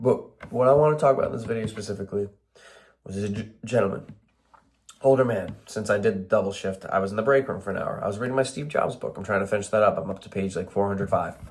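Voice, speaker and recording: In an American accent, a man with a fairly low, somewhat breathy voice talks at a very fast pace with ordinary pitch variation. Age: 20s. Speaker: warehouse worker vlogger. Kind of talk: casual vlog monologue. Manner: halting.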